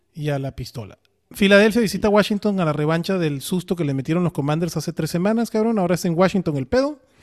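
Speaking at a very fast pace with lively intonation, a man with a Mexican accent talks in a high pitch. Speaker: fantasy football podcast host. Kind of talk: casual chat. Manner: animated.

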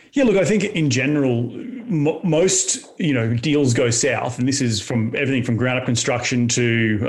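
With an Australian accent, a man speaks in a somewhat breathy voice. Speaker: real estate entrepreneur. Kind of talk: interview. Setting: studio.

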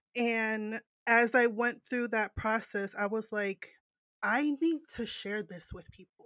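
Speaking at a very slow pace, a woman has a fairly high pitch, ordinary pitch variation and a bright, sharp tone, recorded with a dry, close sound and no echo. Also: big swings in loudness. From New Jersey. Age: 30s. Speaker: podcaster. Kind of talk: casual chat.

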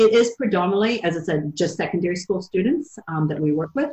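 A woman talks at a fairly quick pace with an American accent. Her medium-pitched voice is somewhat breathy. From US Midwest and South. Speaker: youth enterprise program leader. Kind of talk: interview. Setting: video call.

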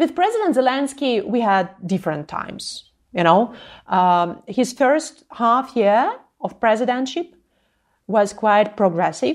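Speaking with a Ukrainian accent, a woman uses a fairly high pitch and very wide pitch swings at a fairly slow pace. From Ukraine, Zhytomyr. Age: 30s. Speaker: anti-corruption activist. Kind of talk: interview. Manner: impassioned.

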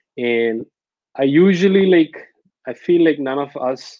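A man with a Telugu accent speaks with ordinary pitch variation. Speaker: startup founder. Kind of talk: interview. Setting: video call. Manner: hesitant with many fillers.

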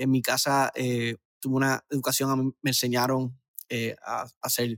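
In a dry, close sound with no echo, a man with a medium-pitched voice speaks at a moderate pace in a flat monotone. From Puerto Rico, Aguadilla. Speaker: brand marketing expert. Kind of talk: interview. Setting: video call.

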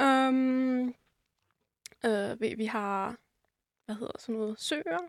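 Very slow speech in a dry, close sound with no echo, on a very clean recording with a silent background. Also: woman. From northern Germany, Rotenburg (Wümme). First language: German (speaking Danish). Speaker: podcast guest. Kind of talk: casual interview. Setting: studio.

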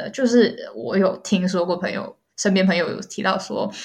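A woman's fairly quick delivery in a plain, everyday voice with ordinary pitch variation. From Malaysia. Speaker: content creator. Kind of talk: interview. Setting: remote call.

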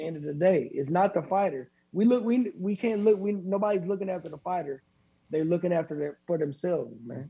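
In an American accent, a man with a high pitch and a dark, mellow tone talks at a very fast pace. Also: ordinary pitch variation. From Flint, Michigan. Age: 30s. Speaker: professional boxer. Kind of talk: casual interview.

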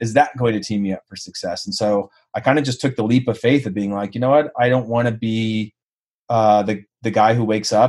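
This man has a normal speaking voice with an American accent. His pitch is fairly low and his intonation fairly even. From Modesto, California. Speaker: former professional footballer. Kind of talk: interview.

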